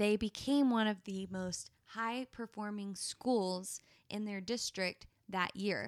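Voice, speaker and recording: A woman talks at a medium pitch with fairly even intonation. Her pace is very slow. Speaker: podcast co-host. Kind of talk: casual chat.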